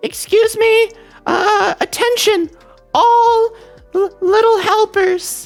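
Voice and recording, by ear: An extremely high, shaky, put-on character voice plays over faint background music.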